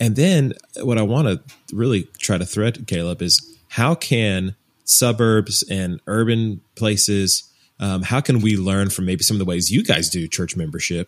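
An unremarkable speaking voice from a man, fairly low in pitch, at a fairly slow pace with ordinary pitch variation. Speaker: podcast host. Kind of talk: casual interview conversation.

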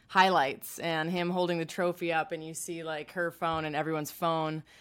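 In an American accent and a normal speaking voice, the speaker goes at a moderate pace on a very clean recording with a silent background. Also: woman. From Chicago. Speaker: sports podcast co-host. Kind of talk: casual chat.

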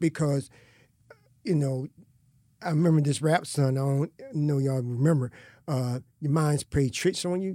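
A man's dark, mellow voice at a moderate pace, fairly even in intonation, with long, frequent pauses and a dry, close sound with no echo. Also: fairly high pitch for a man. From US Northeast, Philadelphia. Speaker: school administrator and mentor. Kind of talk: casual interview.

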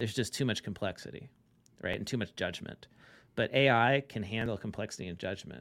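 A man speaks in a plain, everyday voice. His pitch is medium and varies in an ordinary way. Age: 40s. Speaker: accounting tech founder and CPA. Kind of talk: podcast interview. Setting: remote call.

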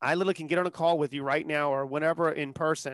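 The speaker talks at a very fast pace with an American accent against a quiet background. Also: man. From US South, Charleston, South Carolina. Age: 30s. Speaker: sales entrepreneur. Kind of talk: podcast interview. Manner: animated.

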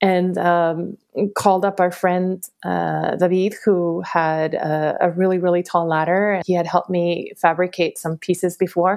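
This very clean recording has a silent background. A woman speaks at a medium pitch with monotone, flat intonation. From Mexico, Tampico (Tamaulipas), then San Diego from age 11. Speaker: visual artist. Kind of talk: interview, casual storytelling.

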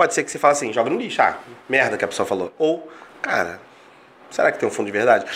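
A man talking at a fairly quick pace. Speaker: coach and mentor. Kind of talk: casual interview chat. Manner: talkative.

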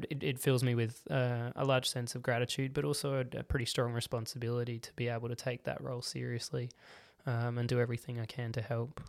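At a fairly quick pace, a man with an Australian accent speaks at medium pitch with fairly even intonation on a very clean recording with a silent background. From Australia, Adelaide northern suburbs. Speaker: paediatric occupational therapist. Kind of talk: casual interview.

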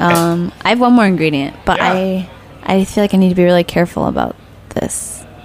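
A woman's fairly low voice in an American accent, with ordinary pitch variation, against noticeable background noise. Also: long, frequent pauses. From Nebraska. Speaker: pastry chef. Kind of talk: interview. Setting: studio.

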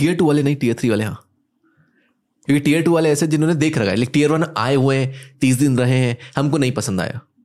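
On a very clean recording with a silent background, a man has a normal speaking voice, a fairly high pitch, and ordinary pitch variation. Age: 20s. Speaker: entrepreneur and business coach. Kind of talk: casual chat.

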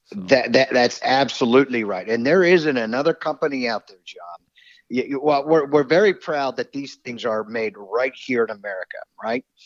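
A man with an ordinary speaking voice talks at a moderate pace and a medium pitch. His pitch varies in an ordinary way while his loudness swings widely. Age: 50s. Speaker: game call company manager. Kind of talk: casual chat.

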